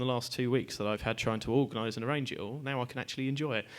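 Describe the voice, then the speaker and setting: A man speaks at a very fast pace in a medium-pitched voice. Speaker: event organiser. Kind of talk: event introduction. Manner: loud.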